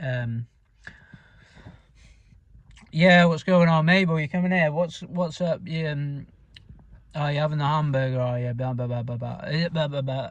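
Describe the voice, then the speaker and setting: A man puts on a character voice with a strong northern English accent, fairly high in pitch. He mumbles at a moderate pace, with long, frequent pauses. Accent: thick northern UK. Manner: mumbling, barely enunciating.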